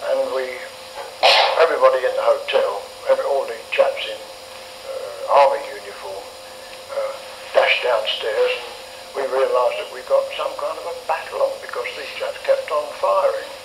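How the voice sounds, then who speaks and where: A man's extremely high-pitched voice in a flat monotone, with long, frequent pauses, big swings in loudness, and noticeable background noise. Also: moderate pace. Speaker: war veteran. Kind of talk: interview answer. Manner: hesitant.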